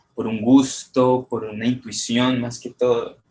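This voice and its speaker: A medium-pitched man at a fairly slow pace. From Colombia. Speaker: photographer and poet, contest winner. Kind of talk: interview. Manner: halting.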